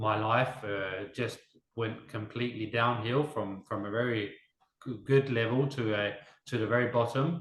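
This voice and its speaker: This man has an English accent and a medium pitch. He talks at a moderate pace with fairly even intonation. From Denmark, half English. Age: 30s. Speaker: interviewee, small business owner. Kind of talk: interview testimony.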